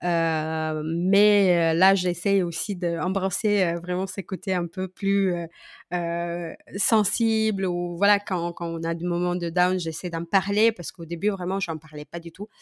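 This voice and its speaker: Speech comes at a very slow pace in a monotone, flat intonation. The sound is dry and close with no echo, in a very clean recording with a silent background. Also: woman, fairly low pitch for a woman. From Moldova. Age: 30s. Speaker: social media coach. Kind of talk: casual interview.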